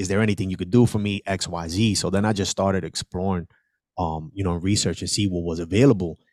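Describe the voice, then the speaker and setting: In a very clean recording with a silent background and a dry, close sound with no echo, a man with an American accent talks at a very fast pace, his very deep, low pitch following fairly even intonation. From New York City, South Bronx. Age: 40s. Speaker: entrepreneur. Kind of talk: interview.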